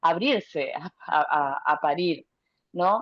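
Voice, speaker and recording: A fairly slow, fairly low-pitched woman's voice with a Venezuelan accent. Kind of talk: testimony. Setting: video call on a phone.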